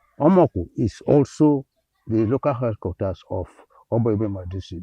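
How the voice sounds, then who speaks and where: A somewhat breathy male voice at medium pitch with lively intonation. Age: 80s+. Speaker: environmental activist. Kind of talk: interview.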